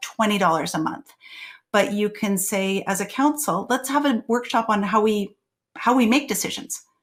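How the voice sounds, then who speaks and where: Somewhat breathy, a woman's voice moves with ordinary pitch variation. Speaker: tech consultant presenting to elected officials. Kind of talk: webinar presentation. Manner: fast.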